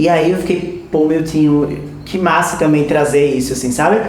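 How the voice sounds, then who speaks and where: Audible room echo and noticeable background noise fill the recording. The voice moves at a moderate pace with ordinary pitch variation. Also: man. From Recife, Pernambuco (Northeast Brazil). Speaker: frevo dancer and dance researcher. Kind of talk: interview.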